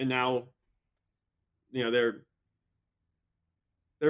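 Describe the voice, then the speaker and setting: The speaker is a man with a medium pitch. His pace is moderate. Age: 20s. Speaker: professional triathlete. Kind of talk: casual interview chat.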